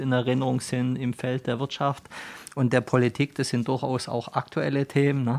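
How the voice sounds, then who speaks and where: Medium-pitched, a man speaks with monotone, flat intonation at a moderate pace. The sound is dry and close, with no echo. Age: 50s. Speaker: company managing director. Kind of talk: interview. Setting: studio.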